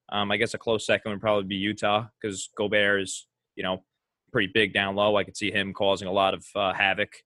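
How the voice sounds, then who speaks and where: At a fairly quick pace, a man speaks with an unremarkable speaking voice that is fairly low in pitch. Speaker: podcast host. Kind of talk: casual sports podcast chat.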